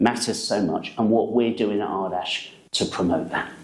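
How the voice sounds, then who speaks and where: A man with an English accent speaks with audible room echo. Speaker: NHS trust executive. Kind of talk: staff video update and interview.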